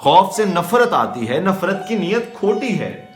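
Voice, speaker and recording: A man speaks with a high pitch. Music plays in the background. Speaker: slam poet. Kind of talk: spoken word poetry performance.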